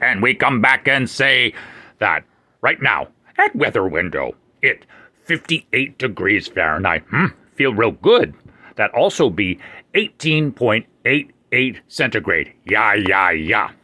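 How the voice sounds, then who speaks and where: In a very clean recording with a silent background, a man performs a cartoonish character voice at medium pitch. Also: fairly slow pace. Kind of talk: puppet comedy weather report. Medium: puppet show. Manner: caveman broken English, dropping articles and verbs; warm, friendly, chatty.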